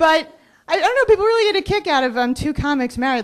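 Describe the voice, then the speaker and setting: A woman speaks with an American accent at a fairly quick pace. Her pitch swings very widely. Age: 30s. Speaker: stand-up comedian. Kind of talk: stand-up comedy set. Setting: comedy club stage.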